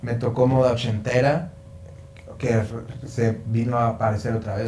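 Noticeable background noise and audible room echo surround a man speaking with a Mexican accent. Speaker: songwriter. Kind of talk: casual chat.

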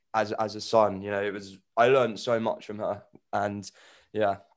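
In a London accent, a man with a fairly low pitch speaks on a very clean recording with a silent background. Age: 20s. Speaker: grief podcaster. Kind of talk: casual interview.

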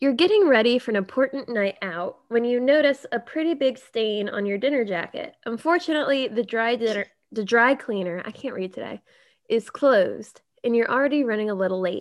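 A woman with an unremarkable speaking voice talks at a fairly high pitch. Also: lively intonation, fairly quick pace. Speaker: podcast host. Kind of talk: casual chat. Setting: video call.

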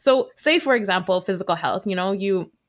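A plain, everyday voice speaks in a Canadian accent with lively intonation. The recording is very clean, with a silent background. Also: woman. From Canada, Vancouver. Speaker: dietitian and mental health podcaster. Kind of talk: casual chat.

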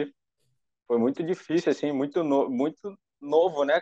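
Using an ordinary speaking voice, a man talks at a fairly slow pace with ordinary pitch variation. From Brazil, Rio de Janeiro area (Nova Iguaçu). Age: young. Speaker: triathlete. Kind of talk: personal testimony.

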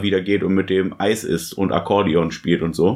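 A man's unremarkable speaking voice, fairly low-pitched, with fairly even intonation at a moderate pace. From Germany, small town. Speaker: film podcast host. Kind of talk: casual chat.

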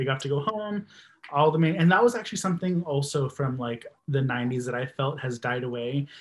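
Somewhat breathy, a man with a fairly high pitch talks at a fairly quick pace. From Texas. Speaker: podcast listener and supporter. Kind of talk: casual chat.

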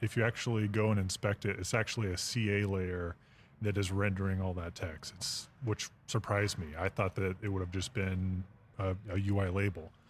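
This man has a fairly low voice with fairly even intonation and a somewhat breathy quality, speaking at a moderate pace in a very clean recording with a silent background. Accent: American. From Texas. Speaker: software developer. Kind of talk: casual panel discussion. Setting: podcast studio at a conference.

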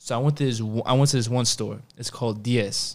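A man with an American accent talks at a medium pitch, his pitch varying in an ordinary way. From New York (Queens). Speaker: podcast host. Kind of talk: casual interview chat.

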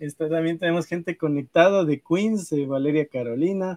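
The man has a high pitch and ordinary pitch variation, speaking at a moderate pace. The sound is dry and close, with no echo. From Ecuador. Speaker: podcast host. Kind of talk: casual interview.

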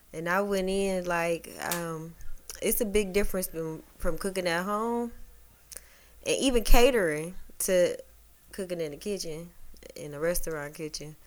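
A woman at a medium pitch with an American accent, moderate pace and ordinary pitch variation, with long, frequent pauses and big swings in loudness, in audible room echo. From Detroit, east side. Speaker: chef and caterer. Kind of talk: casual chat.

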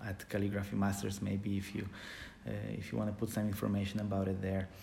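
With a Polish accent, the speaker is heard in audible room echo. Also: man. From Poland. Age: 30s. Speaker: calligrapher. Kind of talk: casual interview.

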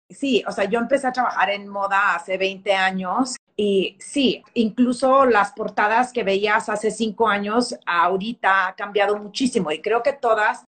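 A woman with an unremarkable speaking voice talks at a fairly high pitch. Her intonation is fairly even, and she hardly pauses. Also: fairly slow pace. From Texas, El Paso. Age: 40s. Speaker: fashion magazine editor. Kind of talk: interview.

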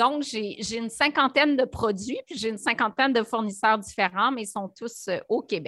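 This woman's fairly high voice has a bright, sharp tone and ordinary pitch variation. She speaks with hardly any pauses. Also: moderate pace. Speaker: nutritionist and entrepreneur. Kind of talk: interview. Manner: animated.

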